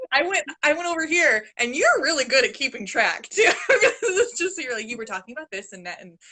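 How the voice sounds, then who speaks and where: A woman's high-pitched voice is raised and projected, bright and sharp in tone, with very wide pitch swings. She moves at a fairly quick pace with big swings in loudness. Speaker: channel host. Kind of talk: casual chat.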